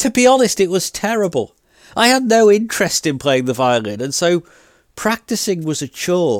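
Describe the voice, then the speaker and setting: A man in a British accent, high-pitched with very wide pitch swings, at a moderate pace, in a dry, close sound with no echo and a very clean recording with a silent background. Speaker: podcast host. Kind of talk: personal storytelling monologue.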